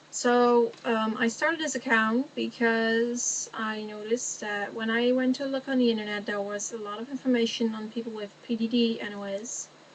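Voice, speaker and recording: Over noticeable background noise, a woman speaks at a moderate pace in a fairly high pitch with monotone, flat intonation. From Netherlands. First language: Dutch. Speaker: vlogger. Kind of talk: casual chat. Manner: halting.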